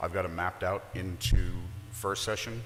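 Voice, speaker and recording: The man's pitch is fairly low. He speaks at a fairly slow pace. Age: 60s. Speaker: political candidate. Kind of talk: campaign speech.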